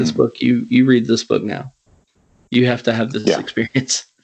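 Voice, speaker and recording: A man speaks at a fairly quick pace in a medium pitch. Vocal fry runs through his voice. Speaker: podcast host. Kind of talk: casual interview.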